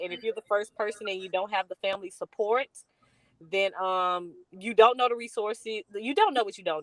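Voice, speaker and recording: In a Southern US accent, a woman speaks at a medium pitch with ordinary pitch variation, recorded with a dry, close sound and no echo. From US South, rural north Louisiana. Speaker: college readiness consultant, business founder. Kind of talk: interview. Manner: many fillers (um, uh).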